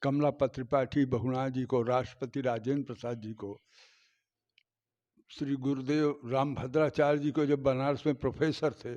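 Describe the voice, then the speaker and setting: The tone is dark and mellow, with monotone, flat intonation. The background is quiet. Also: man, medium pitch for a man. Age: 70s. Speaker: temple custodian, descendant of saint's disciple. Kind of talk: interview, showing documents.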